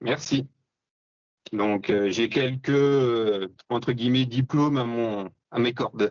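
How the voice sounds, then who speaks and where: This man talks at a very slow pace with long, frequent pauses. His intonation stays fairly even. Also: medium pitch for a man. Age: 30s. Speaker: bow hunter and hunting instructor. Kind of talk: podcast interview. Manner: hesitant, many fillers.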